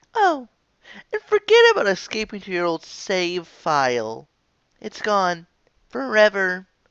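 A female-sounding voice puts on a character voice at a medium pitch for a woman. The pace is fairly slow. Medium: dub. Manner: mocking, menacing.

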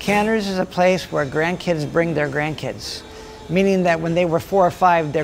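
The speaker talks at a moderate pace with fairly even intonation. Music plays in the background. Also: man. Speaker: deli owner. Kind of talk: interview. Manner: halting, with repeated words.

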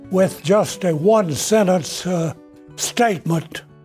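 Faint music plays in the background as a man speaks at a very slow pace with ordinary pitch variation. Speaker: retired educator and local historian. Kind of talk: public talk, memoir lecture. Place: meeting room. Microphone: podium.

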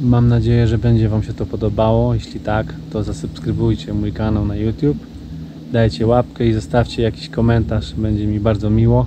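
Amid noticeable background noise, a man speaks at a fairly quick pace with a dry sound and no echo. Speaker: wildlife photographer vlogger. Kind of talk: casual vlog chat. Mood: calm, admiring.

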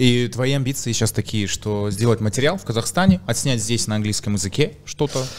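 Speaking at a fairly quick pace with hardly any pauses, a man shows ordinary pitch variation. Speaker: podcast host. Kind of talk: casual chat. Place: studio. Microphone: studio mic.

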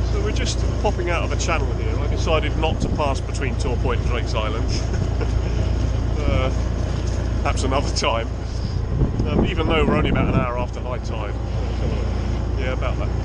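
A man at a fairly quick pace, dry sound with no echo, loud background noise behind him. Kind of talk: casual vlog chat. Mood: relaxed and cheerful. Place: boat. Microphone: phone near.

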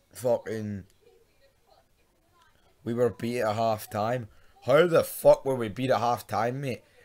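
With a Glasgow accent, a man talks at a fairly slow pace. His intonation is lively. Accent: Scottish (Glasgow). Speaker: football fan vlogger. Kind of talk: casual talk to camera, football preview rant. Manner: sweary, frustrated.

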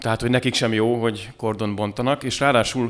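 A man's voice at a fairly quick pace, with fairly even intonation. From Hungary. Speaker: podcast host and moderator; podcast host, moderator. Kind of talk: moderating a political talk show. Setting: studio with live audience. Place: cafe. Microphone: studio mic.

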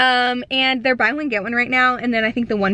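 Her pitch is fairly high and her tone fairly bright. The woman speaks at a fairly quick pace with lively intonation.

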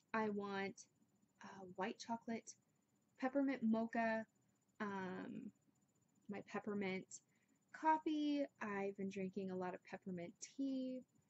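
Her tone slightly mellow, a woman speaks at a slow pace with long, frequent pauses. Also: medium pitch for a woman, ordinary pitch variation.

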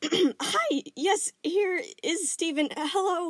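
A woman does a squeaky, put-on character voice at an extremely high pitch. She talks at a very slow pace. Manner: awkward, nervous.

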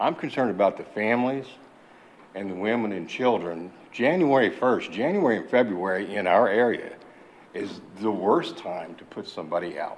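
A man of medium pitch talks at a moderate pace with lively intonation and big swings in loudness, with audible room echo. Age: 60s. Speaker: veteran, public commenter. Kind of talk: public comment. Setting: council chambers. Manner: hesitant, many fillers.

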